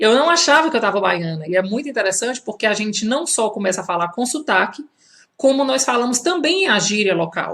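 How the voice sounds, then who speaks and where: Her pitch is fairly high and swings very widely. The woman talks at a fairly quick pace. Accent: strong Ceará. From Brazil, Fortaleza (Ceará). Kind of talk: live social media talk. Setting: Instagram live video. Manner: conversational, with many fillers.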